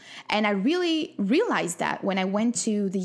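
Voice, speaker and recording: A woman with a French accent speaks at a moderate pace and a medium pitch. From France. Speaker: wellness coach and podcast host. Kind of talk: solo podcast monologue.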